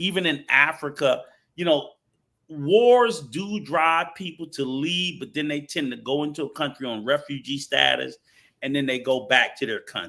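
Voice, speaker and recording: With lively intonation and a moderate pace, a man speaks in a plain, everyday voice with an American accent, his pitch fairly high. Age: 60s. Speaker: travel show panelist. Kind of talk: heated debate.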